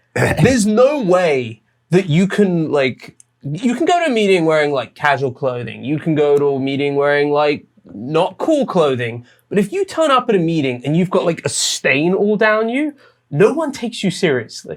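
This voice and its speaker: A man with a British accent speaks at a moderate pace in a high, animated voice that swings very widely in pitch. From England. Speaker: finance podcast co-host. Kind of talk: casual chat.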